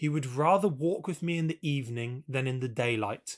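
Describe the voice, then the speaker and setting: The speaker has a British accent and lively intonation. The recording is very clean, with a silent background. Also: man. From England. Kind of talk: audiobook reading.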